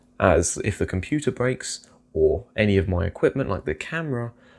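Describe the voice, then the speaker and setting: This man talks at a fairly quick pace with a British accent and a medium pitch. His intonation is lively, and the recording is very clean with a silent background. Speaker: investing youtuber. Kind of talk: casual vlog commentary.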